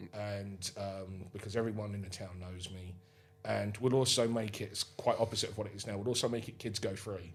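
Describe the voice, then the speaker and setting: A man's fairly quick, monotone delivery with flat intonation, music playing in the background. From England, Suffolk/Essex border. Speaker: wrestling promoter. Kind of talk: podcast interview. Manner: fast, with many false starts.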